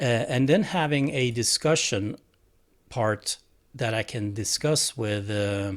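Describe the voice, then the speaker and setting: A man with a Swedish accent and ordinary pitch variation, on a very clean recording with a silent background. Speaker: tech hobbyist vlogger. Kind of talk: tutorial. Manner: halting.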